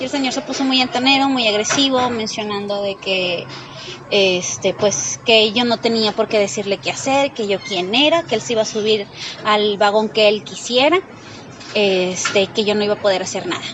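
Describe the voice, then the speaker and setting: At a moderate pace, a woman speaks with a fairly high pitch and ordinary pitch variation over noticeable background noise. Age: 30s. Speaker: metro passenger, harassment witness. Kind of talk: testimony. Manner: halting.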